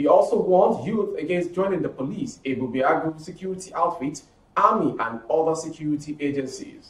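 A man at a fairly quick pace with audible room echo. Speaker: news presenter. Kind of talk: news reading.

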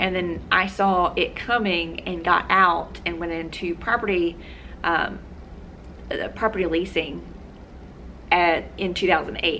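The speech moves at a fairly slow pace with fairly even intonation over light background noise. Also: woman. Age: 30s. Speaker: personal finance vlogger. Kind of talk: casual vlog monologue. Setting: home video recording. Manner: hesitant, many fillers. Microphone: phone near.

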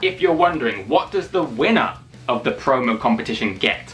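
A man is speaking. Faint music can be heard in the background. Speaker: wrestling channel host. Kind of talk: casual talk to camera. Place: home room. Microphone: phone near.

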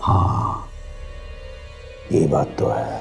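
A man speaks in a put-on character voice, pitched extremely low, with vocal fry and lively intonation. He talks at a very slow pace while faint music plays in the background.

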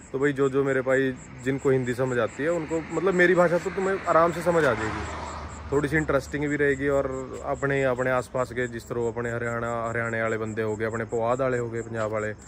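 A man talks with ordinary pitch variation. Noticeable noise fills the background. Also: moderate pace. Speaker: vlogger. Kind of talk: casual vlog chat. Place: street. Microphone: phone near.

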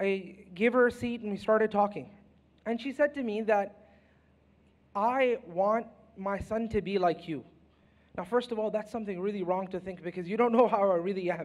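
A man at a moderate pace, with long, frequent pauses. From Canada. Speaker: Islamic scholar, panelist. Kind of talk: panel discussion. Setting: stage with audience. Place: stage. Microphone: handheld.

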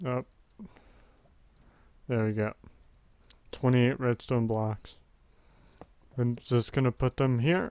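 A man speaks quietly at a medium pitch. His pace is fairly slow and his intonation fairly even. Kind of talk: casual gameplay commentary. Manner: quiet, subdued.

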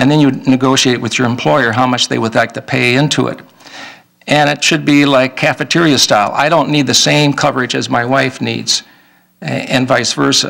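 Man with an American accent, bright, sharp tone and vocal fry, at a moderate pace with fairly even intonation, over a quiet background. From Minnesota. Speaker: state legislator; candidate. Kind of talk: candidate debate. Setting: public event with audience. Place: meeting room. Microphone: podium.

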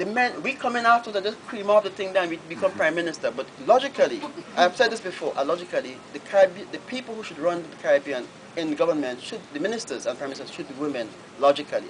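This man talks at a very fast pace, his voice high-pitched and swinging very widely in pitch. His loudness rises and falls sharply over light background noise. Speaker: novelist. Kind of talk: Q&A answer at a book reading. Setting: bookshop event, live audience. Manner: hesitant, repetitive. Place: shop. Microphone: camera far.

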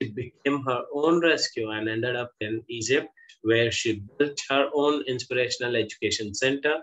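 A man at a fairly slow pace with ordinary pitch variation, over a quiet background. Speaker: interview host. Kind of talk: guest introduction. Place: home room. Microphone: video call.

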